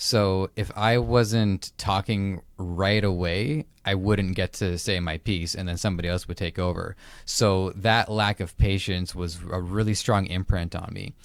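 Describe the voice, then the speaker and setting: On a very clean recording with a silent background, the speaker keeps fairly even intonation and hardly any pauses. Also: man, very deep, low pitch for a man. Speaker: podcast host. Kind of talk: interview. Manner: fast; stuttering.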